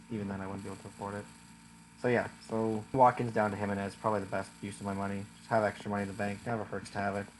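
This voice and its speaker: Talking at a very fast pace, a man keeps a flat, monotone intonation at a fairly low pitch. His loudness swings widely. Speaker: fantasy football content creator. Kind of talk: casual solo video commentary. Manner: halting, many fillers.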